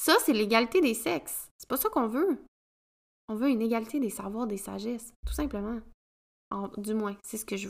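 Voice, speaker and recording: In a very clean recording with a silent background, a woman with a Quebec accent speaks at a moderate pace with ordinary pitch variation and long, frequent pauses. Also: fairly high pitch for a woman. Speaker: podcast host, women's coach. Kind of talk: solo podcast monologue.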